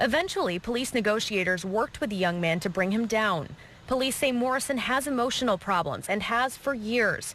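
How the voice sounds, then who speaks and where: A woman with a plain, everyday voice, fairly high in pitch with an American accent, lively intonation and very even loudness. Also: fairly quick pace. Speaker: TV news reporter and fill-in anchor. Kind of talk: TV news reporter delivery.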